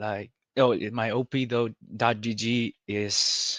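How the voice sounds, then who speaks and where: A man with a Spanish accent speaks at a medium pitch in a monotone, flat intonation, the sound dry and close with no echo. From Argentina. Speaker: coaching client, gamer. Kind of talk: casual chat. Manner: halting.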